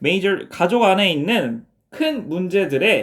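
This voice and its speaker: The recording is very clean, with a silent background. The delivery is fairly slow. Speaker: English teacher. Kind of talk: lecture.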